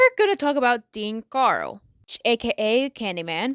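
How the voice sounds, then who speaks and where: Lively intonation at a moderate pace on a very clean recording with a silent background, the sound dry and close with no echo. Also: woman. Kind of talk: true crime storytelling to camera with commentary. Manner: stuttering; casual.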